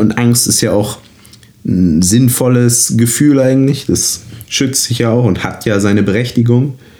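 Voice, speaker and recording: A man speaks over noticeable background noise. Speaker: actor and podcast co-host. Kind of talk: casual chat.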